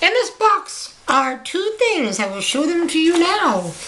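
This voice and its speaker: A woman performs a put-on character voice, squeaky and extremely high-pitched. Her pitch swings very widely. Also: fairly slow pace. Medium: read story. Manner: playful, showy.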